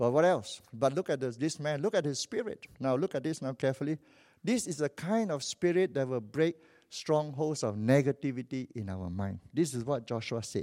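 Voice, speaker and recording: A man with a Malaysian accent, fairly high pitch, dark, mellow tone and lively intonation, in a very clean recording with a silent background and a dry, close sound with no echo. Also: moderate pace. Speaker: visiting preacher. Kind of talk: sermon. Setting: church. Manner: animated.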